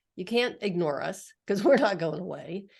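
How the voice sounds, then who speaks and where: An ordinary speaking voice belongs to a woman at medium pitch. She talks at a moderate pace against a quiet background. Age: 60s. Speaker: podcast host. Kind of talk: interview podcast.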